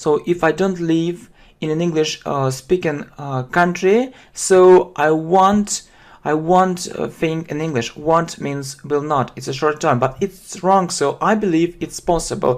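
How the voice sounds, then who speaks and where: The speaker talks at a fairly slow pace in a Russian accent. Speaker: English teacher. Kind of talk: lesson. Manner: halting, many fillers; slow, repetitive.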